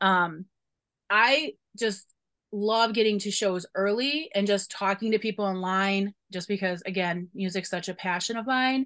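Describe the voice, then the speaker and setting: In a Chicago accent, a woman talks at a fairly slow pace in a medium pitch with ordinary pitch variation, over a quiet background. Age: 40s. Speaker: university staff member. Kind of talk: casual interview.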